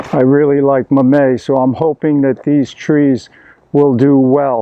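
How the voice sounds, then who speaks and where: Monotone and flat, a man speaks fairly slowly in a fairly high voice at very even loudness. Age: 70s. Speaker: tennis teacher and vegan channel host. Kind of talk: casual garden tour vlog. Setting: outdoors in garden.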